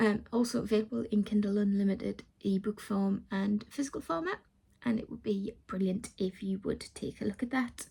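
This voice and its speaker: A woman with a British accent speaks at a fairly high pitch with ordinary variation. Her tone is dark and mellow, and somewhat breathy. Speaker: vlogger and self-published author. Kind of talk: casual vlog chat.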